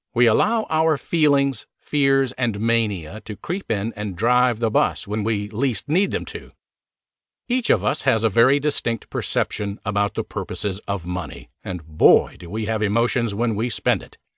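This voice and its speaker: Against a quiet background, a man with a plain, everyday voice speaks at a fairly slow pace, his medium pitch carrying lively intonation. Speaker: audiobook narrator. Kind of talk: audiobook narration of a personal finance book, pitched like an infomercial. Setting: studio. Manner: punchy, upbeat, salesman-like delivery with rhetorical questions.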